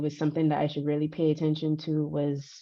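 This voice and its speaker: A woman speaks at a very deep, low pitch with a dark, mellow tone. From Barbados. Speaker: conference speaker. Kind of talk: conference talk. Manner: halting.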